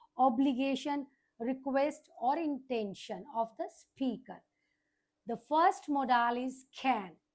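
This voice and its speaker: A woman speaks with an Indian accent. Her pitch is high. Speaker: teacher. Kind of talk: lecture.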